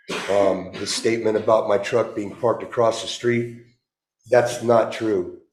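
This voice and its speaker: The speech comes at a fairly slow pace with monotone, flat intonation and audible room echo. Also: man, medium pitch for a man. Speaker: city council member facing censure. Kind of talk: statement at council meeting. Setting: city council meeting. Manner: loud.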